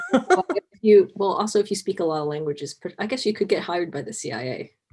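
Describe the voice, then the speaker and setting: Talking very fast in a Cantonese accent, a woman uses a medium pitch and lively intonation, with big swings in loudness. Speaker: costumer, interview guest. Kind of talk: casual video interview chat.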